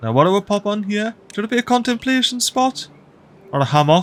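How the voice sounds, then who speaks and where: A man with a Geordie accent at a very fast pace. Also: dry, close sound with no echo. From Northeast England (Geordie). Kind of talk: gaming commentary. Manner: casual, upbeat.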